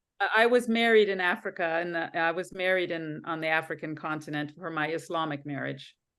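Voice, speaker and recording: A woman with a normal speaking voice talks at a fairly quick pace with hardly any pauses. Her pitch is fairly low with ordinary variation, and the background is quiet. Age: 60s. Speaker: spiritual session participant. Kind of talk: casual chat. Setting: video call.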